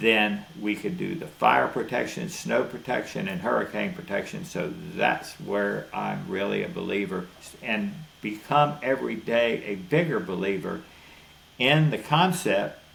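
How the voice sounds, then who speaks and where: A man's medium-pitched voice in a Southern US accent, fairly slow, with very wide pitch swings, audible room echo and noticeable background noise. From Florida. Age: 70s. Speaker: cattle rancher. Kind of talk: interview.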